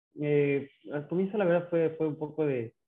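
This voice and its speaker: A man speaks with a fairly high pitch. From Ecuador, Ambato (Sierra highlands). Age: 30s. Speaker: ultra triathlete. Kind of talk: interview. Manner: halting, many repeated words.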